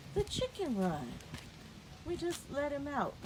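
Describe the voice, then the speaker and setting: Noticeable background noise accompanies a woman speaking with lively intonation. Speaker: home gardener and vlogger. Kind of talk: casual vlog garden tour. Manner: slow; chatty, informal.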